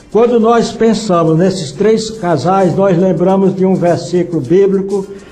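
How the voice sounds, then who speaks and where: A high-pitched man at a fairly slow pace, with very even loudness and ordinary pitch variation, amid audible room echo and music in the background. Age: 80s+. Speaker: retired pastor. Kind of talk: radio interview.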